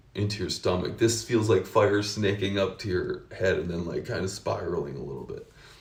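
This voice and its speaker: Over audible room echo, a somewhat breathy man with an American accent speaks at a moderate pace, with a fairly low pitch and ordinary pitch variation. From United States. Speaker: vlogger sharing personal experience. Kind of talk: personal testimony, casual unscripted monologue. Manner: casual with frequent fillers and restarts.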